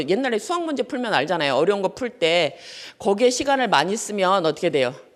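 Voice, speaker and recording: Very fast speech from a woman at medium pitch, with very wide pitch swings. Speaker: law lecturer. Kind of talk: lecture. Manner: animated.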